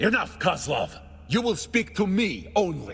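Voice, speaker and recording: Here a man puts on a character voice. He keeps a moderate pace. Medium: video game. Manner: solemn, terse.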